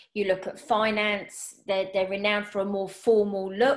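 In a normal speaking voice, a woman talks at medium pitch and a moderate pace. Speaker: personal stylist and podcast host. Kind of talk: casual interview chat.

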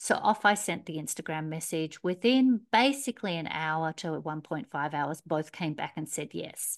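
In a quiet background, a woman with an Australian accent talks at a moderate pace with hardly any pauses, her fairly low voice rising and falling in lively intonation. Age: 50s. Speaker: career coach. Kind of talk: interview. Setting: remote call.

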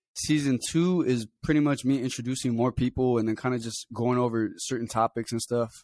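In an ordinary speaking voice, a man at medium pitch moves at a fairly quick pace with hardly any pauses and ordinary pitch variation. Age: 20s. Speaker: podcast host and rapper. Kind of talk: casual solo monologue. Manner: relaxed, rambling with fillers.

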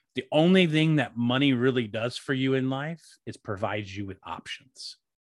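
With a plain, everyday voice, a man of medium pitch talks at a moderate pace with ordinary pitch variation against a quiet background. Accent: American. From US South, North Carolina. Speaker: podcast co-host being interviewed. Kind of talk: interview.

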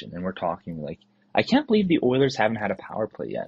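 A man's somewhat breathy, medium-pitched voice in a Western Canadian accent, fairly quick, with very wide pitch swings. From southern Alberta, Canada. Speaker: listener voicemail caller. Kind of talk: casual chat. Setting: voicemail.

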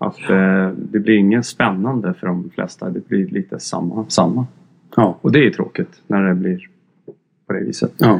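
A man with a fairly low pitch speaks at a moderate pace with ordinary pitch variation in an unremarkable speaking voice. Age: 50s. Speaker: music journalist. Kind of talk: casual chat. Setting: studio.

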